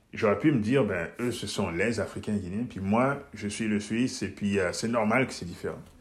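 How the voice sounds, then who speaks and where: Here a man talks at a fairly low pitch with ordinary pitch variation. Audible room echo is present. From Guinea, Switzerland and Mozambique (mixed childhood). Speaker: entrepreneur and mentor. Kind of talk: interview conversation.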